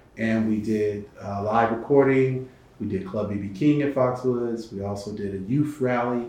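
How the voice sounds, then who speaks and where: In an American accent, a man speaks at a medium pitch with fairly even intonation, and audible room echo is present. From Connecticut. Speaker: entertainment lawyer. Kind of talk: interview. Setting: studio.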